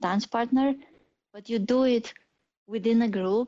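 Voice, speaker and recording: A woman speaks with a Polish accent and fairly even intonation. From Poland. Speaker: AI and autonomous driving engineer. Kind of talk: interview.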